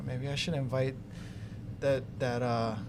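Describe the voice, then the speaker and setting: The man speaks at a medium pitch and a moderate pace. His intonation is monotone and flat, with audible room echo. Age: 60s. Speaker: solar company executive. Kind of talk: casual podcast conversation.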